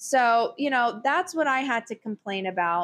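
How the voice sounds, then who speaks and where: Loud and animated in tone, this voice makes very wide pitch swings at a moderate pace against a quiet background. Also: woman. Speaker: podcast host, works in higher education. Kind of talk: casual chat. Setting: home recording during thunderstorm. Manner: loud, animated.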